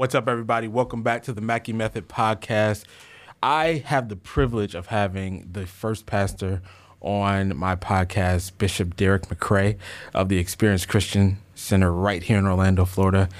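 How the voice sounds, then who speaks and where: In an ordinary speaking voice, a man with an American accent talks at a moderate pace, fairly low in pitch with ordinary pitch variation, on a very clean recording with a silent background. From Chicago. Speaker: podcast host. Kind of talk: casual interview.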